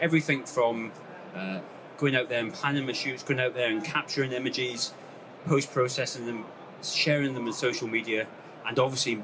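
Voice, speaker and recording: Noticeable background noise and audible room echo surround a man speaking fairly quickly at a medium pitch with fairly even intonation. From Scotland, West Highlands. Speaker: landscape photographer. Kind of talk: talk to a live audience. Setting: stage with audience. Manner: hesitant, many fillers.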